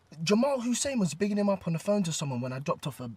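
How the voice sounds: A man's high, put-on character voice with a slightly husky edge, big pitch swings and a very fast pace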